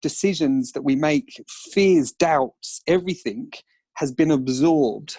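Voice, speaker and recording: A man with an Essex accent, fairly high in pitch, dark and mellow in tone, at a fairly slow pace with ordinary pitch variation, in a very clean recording with a silent background and a dry, close sound with no echo. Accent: Colchester. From Essex, Colchester. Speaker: entrepreneur and author. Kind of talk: podcast interview.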